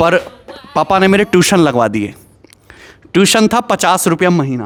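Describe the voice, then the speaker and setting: Very wide pitch swings at a very even loudness, with music in the background. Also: man, high pitch for a man. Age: 30s. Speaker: maths teacher. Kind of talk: personal storytelling.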